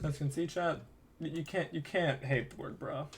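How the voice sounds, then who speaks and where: This man has an unremarkable speaking voice, pitched fairly high for a man and moving at a fairly quick pace. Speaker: podcast host. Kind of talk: casual chat.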